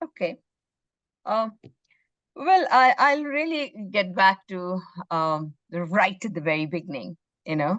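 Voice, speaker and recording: A woman's medium-pitched voice with very wide pitch swings, a fairly slow pace and long, frequent pauses. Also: dry, close sound with no echo. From India, Bengali. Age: 60s. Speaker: social entrepreneur. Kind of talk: interview. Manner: hesitant with fillers.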